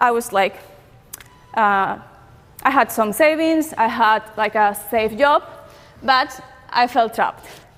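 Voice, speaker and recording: A woman with a non-native accent speaks at a very slow pace with long, frequent pauses, a fairly high pitch, ordinary pitch variation and very even loudness. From Peru. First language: Spanish. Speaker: online entrepreneur. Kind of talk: conference talk. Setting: stage with audience. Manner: hesitant, many fillers.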